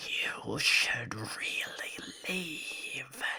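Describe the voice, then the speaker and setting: Someone whispers in a put-on character voice. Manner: ominous, warning.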